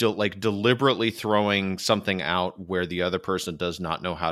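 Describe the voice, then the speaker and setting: Using ordinary pitch variation and a moderate pace, a man speaks with an American accent. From US Midwest, Michigan. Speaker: podcast host. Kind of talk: casual chat.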